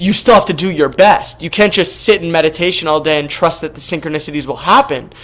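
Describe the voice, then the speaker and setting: Over noticeable background noise, a man talks very fast in a high voice, with hardly any pauses. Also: ordinary pitch variation. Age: 20s. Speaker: workshop participant. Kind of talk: Q&A question. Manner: halting.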